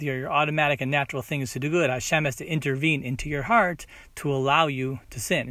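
A man speaks at a fairly quick pace with medium pitch. His tone is bright and sharp, and his intonation stays fairly even. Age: 40s. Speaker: Torah teacher. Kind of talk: short Torah talk. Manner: halting.

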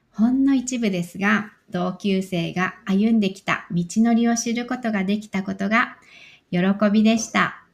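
Speech comes fairly slowly in a somewhat breathy voice. The intonation stays fairly even. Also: woman, medium pitch for a woman. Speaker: podcast host. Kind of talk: scripted narration.

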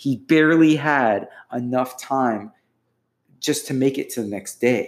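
Slowly and at a medium pitch, a man speaks with an unremarkable speaking voice. His pitch varies in an ordinary way, and his pace is fairly slow. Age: 40s. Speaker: poet, writer and relationship blogger. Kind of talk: casual chat.

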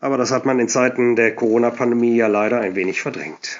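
At a fairly quick pace, a man talks in an unremarkable speaking voice at medium pitch. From Germany, Cologne. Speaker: Cologne dialect music enthusiast and DJ. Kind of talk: prepared talk about a song.

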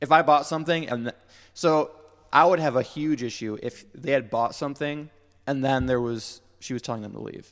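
A man with an American accent speaks at a moderate pace in a plain, everyday voice, his fairly high pitch showing ordinary variation and his loudness swinging widely, on a very clean recording with a silent background. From Pennsylvania. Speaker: church friend, former band drummer. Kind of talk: casual chat.

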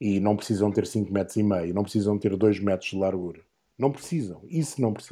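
His tone is dark and mellow, his pitch fairly low. The man speaks at a fairly quick pace. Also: ordinary pitch variation. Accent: European Portuguese. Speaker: motorsport commentator. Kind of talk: casual chat.

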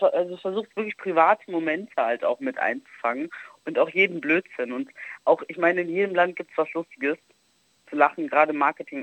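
The speaker has a normal speaking voice with lively intonation at a fairly quick pace. The sound is dry and close, with no echo. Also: woman. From Germany, Italian roots. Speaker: travel influencer. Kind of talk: casual chat. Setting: phone call.

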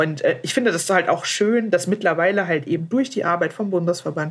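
A woman's voice with ordinary pitch variation. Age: 20s. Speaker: guest with spinal muscular atrophy. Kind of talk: casual chat. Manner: hesitant, many fillers.

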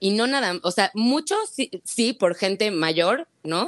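A woman speaks in a dry, close sound with no echo at all. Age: 30s. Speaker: egg-freezing patient sharing her experience. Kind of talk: testimony in casual chat.

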